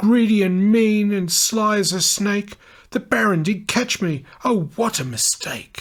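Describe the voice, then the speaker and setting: A female-sounding put-on character voice of medium pitch speaks fairly slowly in a very clean recording with a silent background. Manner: pleading, sing-song.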